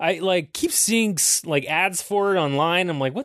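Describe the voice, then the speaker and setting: A man with an Ontario accent, lively intonation and a moderate pace, in a dry, close sound with no echo against a quiet background. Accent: Canadian (Ontario). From Ontario, Canada (Aurora). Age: 30s. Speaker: podcast host. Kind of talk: casual solo monologue.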